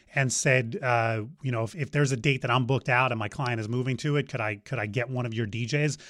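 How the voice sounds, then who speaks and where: In an American accent, a man talks with an unremarkable speaking voice. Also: very clean recording, silent background. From New Jersey. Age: 50s. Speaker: DJ company owner. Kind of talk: interview.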